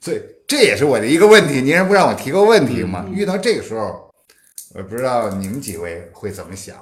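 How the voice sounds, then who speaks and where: A man's fairly quick delivery with vocal fry, very wide pitch swings, big swings in loudness, and audible room echo. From Beijing, China. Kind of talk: casual chat. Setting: living room gathering at host's home.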